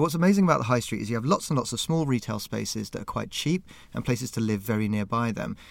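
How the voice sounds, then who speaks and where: In a very clean recording with a silent background, a man at medium pitch speaks very fast with lively intonation. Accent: southern English. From Southampton, southern England. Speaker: museum curator. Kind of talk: interview. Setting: small studio room.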